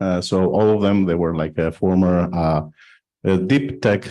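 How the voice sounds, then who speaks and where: With a Greek accent, a man speaks at a moderate pace in a very deep, low pitch. His tone is dark and mellow against a quiet background. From Greece. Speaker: blockchain foundation executive. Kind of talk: panel discussion. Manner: halting, many fillers.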